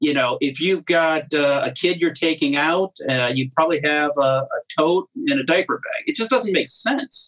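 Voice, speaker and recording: A man with an American accent and an ordinary speaking voice, fairly high-pitched for a man, with ordinary pitch variation, a moderate pace, and a dry, close sound with no echo. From US Midwest, Cleveland, Ohio. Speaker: company founder and CEO. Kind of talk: interview. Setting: remote call.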